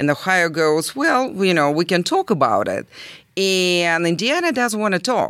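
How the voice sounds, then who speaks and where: In a Russian accent, the speaker talks at a moderate pace with very wide pitch swings on a very clean recording with a silent background. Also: woman. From southern Russia. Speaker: volunteer aiding refugees. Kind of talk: interview. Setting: library recording room. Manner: emotional, hesitant.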